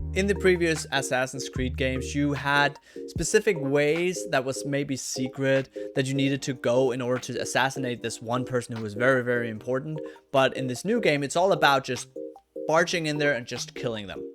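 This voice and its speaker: Music plays behind a man with a Danish accent and a medium pitch. He moves at a fairly quick pace, his voice making very wide pitch swings. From Copenhagen, Denmark. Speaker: gaming YouTuber and streamer. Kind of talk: game review to camera.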